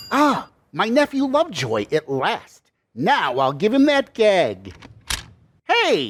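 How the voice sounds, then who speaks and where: A man's put-on character voice, high-pitched and fairly slow, with very even loudness and long, frequent pauses. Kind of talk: 1940s radio acting. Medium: audio drama. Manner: brash, jovial.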